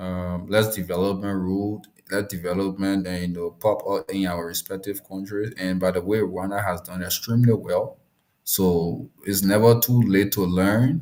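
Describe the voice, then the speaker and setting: Speaking with a Liberian accent, a man with a fairly low pitch keeps a moderate pace and fairly even intonation. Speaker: discussion host. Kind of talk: live discussion. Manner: halting, many repetitions.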